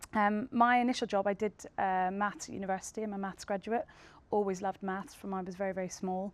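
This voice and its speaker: In a Northern Irish accent, a woman talks at a very fast pace. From Northern Ireland. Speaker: tech company co-founder. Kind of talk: panel discussion.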